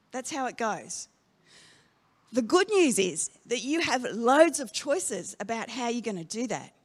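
On a very clean recording with a silent background, a woman with an Australian accent speaks in a high-pitched voice with very wide pitch swings. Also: fairly slow pace. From Australia, Darwin. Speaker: pastor. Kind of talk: sermon.

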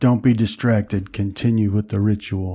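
A raspy, put-on character voice from a man, fairly low in pitch, at a moderate pace

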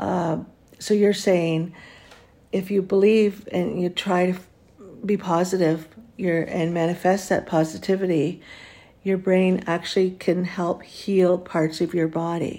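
Monotone and flat, a woman with a Canadian accent speaks fairly slowly at a fairly low pitch in a dark, mellow tone. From Ontario, Canada. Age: 60s. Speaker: podcast host. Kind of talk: casual interview.

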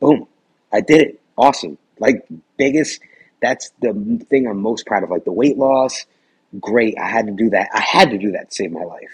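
Pausing long and often, a man speaks at a moderate pace in a medium-pitched voice with lively intonation. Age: 30s. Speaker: weight loss guest. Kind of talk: personal testimony in interview.

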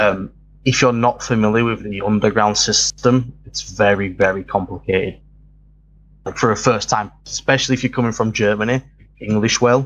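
Using a plain, everyday voice, a man talks at a moderate pace in a fairly low pitch with fairly even intonation. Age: 20s. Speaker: YouTube tabletop game channel host. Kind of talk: interview.

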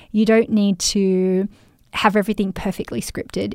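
On a very clean recording with a silent background, a woman speaks at a fairly high pitch in a warm, enthusiastic tone. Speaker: podcast host and business coach. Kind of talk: solo podcast episode, casual behind-the-scenes talk. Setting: home recording setup, microphone and headphones. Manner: warm, chatty, enthusiastic.

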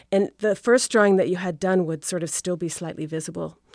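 In a normal speaking voice with an American accent, the speaker keeps a moderate pace and fairly even intonation. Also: woman. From Rhode Island, US. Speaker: architect and designer. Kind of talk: casual interview. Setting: studio.

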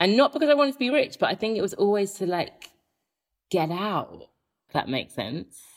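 Her pitch is medium, but it swings very widely, with vocal fry running through it. The woman talks at a fairly quick pace. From England (Birmingham-born, raised in Horsham). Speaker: broadcaster and author. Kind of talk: interview conversation. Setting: remote recording from home.

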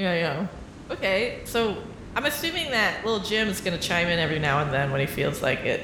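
Fairly quick talking, with noticeable background noise behind it. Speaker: improv comedy podcast host. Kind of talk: casual improv comedy chat.

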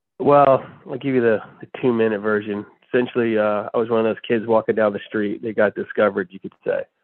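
A man's medium-pitched voice at a very fast pace, fairly even in intonation, with big swings in loudness. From US South; born in Texas, moved around the South, then New Jersey for high school. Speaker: TV producer, former actor. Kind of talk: casual interview. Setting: phone call.

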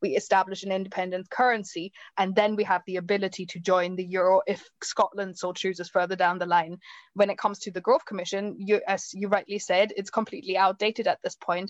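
A woman with a German accent talks at a very fast pace in a medium pitch. Her intonation is fairly even, and the background is quiet. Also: dry, close sound with no echo. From Germany. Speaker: campaigner. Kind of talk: panel discussion.

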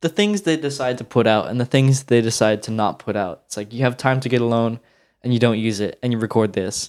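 A man with an ordinary speaking voice at a medium pitch, with ordinary pitch variation and a fairly quick pace, on a very clean recording with a silent background. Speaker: music historian. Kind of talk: casual discussion of recording sessions.

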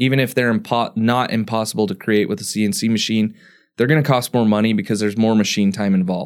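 A very fast man's voice at medium pitch with fairly even intonation, on a very clean recording with a silent background. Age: 30s. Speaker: engineering podcast co-host. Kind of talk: casual chat.

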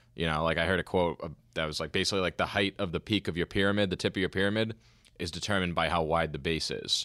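Speaking at a very fast pace, a man with a very deep, low pitch keeps his intonation fairly even, in a very clean recording with a silent background and a dry, close sound with no echo. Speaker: podcast host. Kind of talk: interview. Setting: studio. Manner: casual, friendly.

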